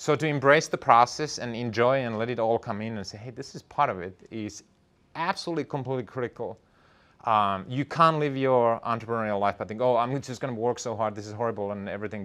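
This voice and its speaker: Someone with a non-native accent talks at a very fast pace, with ordinary pitch variation and big swings in loudness, over a quiet background. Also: man, medium pitch for a man. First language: not English. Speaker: entrepreneur and startup founder. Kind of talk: talk to an audience.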